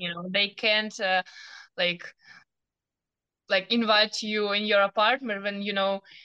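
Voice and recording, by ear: In a dry, close sound with no echo, a woman speaks at a fairly slow pace and medium pitch, with little pitch movement and a clear, smooth tone.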